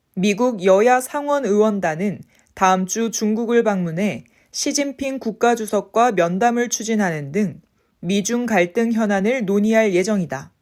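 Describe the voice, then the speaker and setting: In a very clean recording with a silent background, a woman talks at a fairly slow pace, her fairly high voice showing ordinary pitch variation. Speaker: voice and speech coach. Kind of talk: news article reading, sentence by sentence for repetition practice. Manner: clear, crisp articulation.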